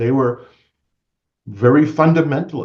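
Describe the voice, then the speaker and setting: A man's dark, mellow tone with ordinary pitch variation and audible room echo. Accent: American. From Maine, US (Bangor). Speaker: guest speaker on religion. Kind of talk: lecture.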